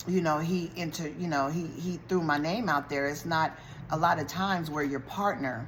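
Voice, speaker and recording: With audible room echo, a woman speaks at a fairly slow pace in a very deep, low pitch with ordinary pitch variation. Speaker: YouTuber recapping a TV show. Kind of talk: casual TV show recap. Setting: eating while talking to camera.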